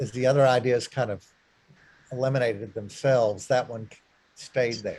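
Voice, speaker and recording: A man speaks at medium pitch and a moderate pace in a monotone, flat intonation. His voice is somewhat breathy, with long, frequent pauses. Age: 60s. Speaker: retired clergyman. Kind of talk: talk to a church group. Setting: church meeting room with zoom. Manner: halting.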